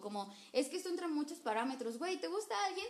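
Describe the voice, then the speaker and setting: A woman with a Mexican accent and very wide pitch swings, amid noticeable background noise. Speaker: podcast host. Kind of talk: casual chat.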